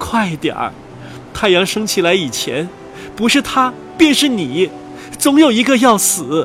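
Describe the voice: With faint music in the background, a man does a put-on character voice at a high pitch, with a fairly bright tone, big pitch swings and a fairly slow pace.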